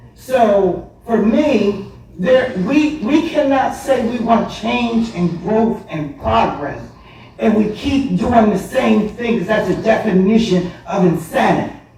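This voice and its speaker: Very slow speech in an American accent amid noticeable background noise. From Bridgeton, New Jersey (US). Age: 60s. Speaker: public commenter, former school board member. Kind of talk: public comment at council meeting. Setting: council meeting with audience. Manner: animated; halting with repetitions.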